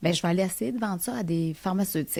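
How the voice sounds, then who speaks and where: The woman's voice has a dark, mellow tone, a fairly low pitch and ordinary pitch variation. The recording is very clean, with a silent background. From Quebec, Lac-Saint-Jean (Alma). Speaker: entrepreneur, company founder. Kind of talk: interview conversation. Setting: studio. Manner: fast; animated.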